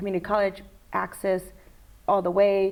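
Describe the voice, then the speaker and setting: In a Spanish accent, a woman talks at a fairly quick pace. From Mexico (born Tijuana, raised in Jalisco). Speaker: college lecturer and school board candidate. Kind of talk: casual interview.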